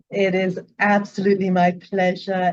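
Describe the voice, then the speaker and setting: The speaker talks at a fairly slow pace in a South African accent. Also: woman. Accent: South African, noticeable. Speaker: psychologist. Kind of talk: interview conversation. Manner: enthusiastic, some repetitions.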